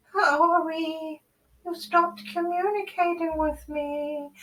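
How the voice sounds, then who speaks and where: A put-on character voice, female-sounding and pitched extremely high, comes out soft-spoken and timid in tone at a fairly slow pace. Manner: timid, hesitant.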